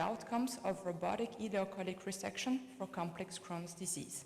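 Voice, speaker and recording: A woman speaks in a French accent with ordinary pitch variation. The room echo is audible. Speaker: colorectal surgeon. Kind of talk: conference presentation.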